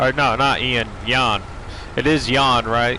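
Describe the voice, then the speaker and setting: Against noticeable background noise, the speech moves at a very slow pace with fairly even intonation. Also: man. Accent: strong northeastern US. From Maine, US. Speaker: gaming streamer. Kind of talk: live gameplay stream chat. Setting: live stream, reading chat. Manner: casual, laid back.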